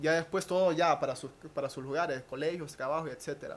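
An unremarkable speaking voice, this man's is fairly high-pitched and fairly quick, with fairly even intonation. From Honduras. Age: 20s. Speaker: professional dancer. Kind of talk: testimony.

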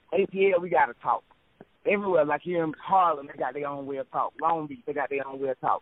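Speaking very fast in a Southern US accent, a man with a fairly high voice shows ordinary pitch variation and big swings in loudness. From US South. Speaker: poet. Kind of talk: poetry reading.

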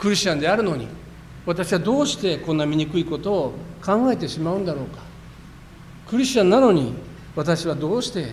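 Lively intonation marks this man's high-pitched speech at a moderate pace, with audible room echo and noticeable background noise. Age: 50s. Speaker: pastor. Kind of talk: sermon.

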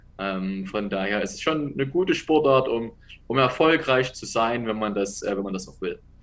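A man with lively intonation at a moderate pace, his loudness swinging widely. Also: medium pitch for a man. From Saxony, Dresden. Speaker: American football head coach. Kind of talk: interview.

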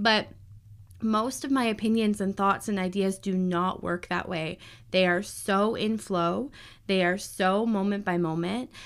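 A woman speaks at medium pitch in a normal speaking voice with fairly even intonation. The recording is very clean, with a silent background. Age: 30s. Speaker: podcast host, astrologer and human design guide. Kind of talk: casual solo monologue.

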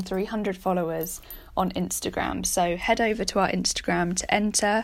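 Speaking in a British accent, a woman uses a medium pitch, fairly even intonation and a moderate pace. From Britain. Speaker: podcast host. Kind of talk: news reading.

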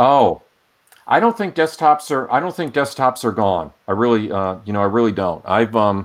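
With an American accent, a man talks in a plain, everyday voice. His medium pitch carries lively intonation at a moderate pace. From Rhode Island, US. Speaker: data science instructor. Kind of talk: casual interview.

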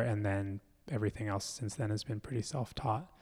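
A man with an American accent speaks in a plain, everyday voice, fairly low in pitch with fairly even intonation, on a very clean recording with a silent background. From US, Philadelphia. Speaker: mask maker and performer. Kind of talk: casual interview conversation.

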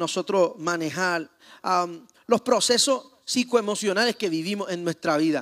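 Animated, moderately paced speech from a man with ordinary pitch variation, in a dry, close sound with no echo. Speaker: pastor. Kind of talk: sermon.

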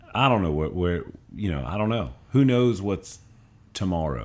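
Intonation is lively as a man talks at a moderate speed. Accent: Louisiana. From Louisiana, Covington. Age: 30s. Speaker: middle school principal. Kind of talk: casual chat. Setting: studio.

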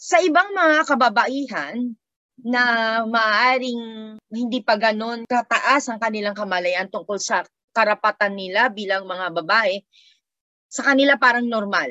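Against a quiet background, a woman talks at a fairly slow pace in a fairly high pitch, her tone bright and sharp and her intonation lively. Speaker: sociology professor. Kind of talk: interview. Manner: hesitant with fillers.

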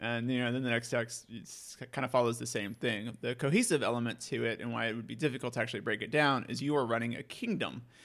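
With vocal fry and hardly any pauses, a man talks at a very fast pace, medium pitch and fairly even intonation. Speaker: podcast host. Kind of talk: casual chat.

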